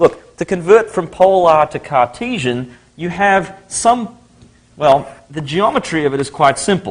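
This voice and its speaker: In an Australian accent, the speaker talks at a fairly slow pace with very wide pitch swings. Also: man. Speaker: university lecturer. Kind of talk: lecture.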